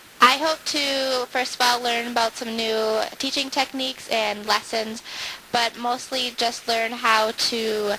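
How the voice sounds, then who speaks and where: Speaking in an Upper Midwest accent, a woman talks at a high pitch and a fairly slow pace with monotone, flat intonation. Noticeable background noise can be heard. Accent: Upper Midwest American. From US Midwest (Wisconsin). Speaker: student teacher. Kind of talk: interview. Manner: hesitant, with filler words.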